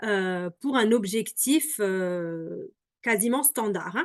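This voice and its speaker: With a fairly high pitch and ordinary pitch variation, a woman talks in a dry, close sound with no echo. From Alsace, France. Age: 30s. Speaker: product seller. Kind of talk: presentation. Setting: video call.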